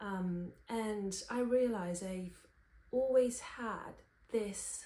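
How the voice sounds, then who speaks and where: Somewhat breathy and dark, mellow in tone, a woman speaks with fairly even intonation amid audible room echo. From Romania. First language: Romanian. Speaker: singer-songwriter and vlogger. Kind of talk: personal vlog talking to camera.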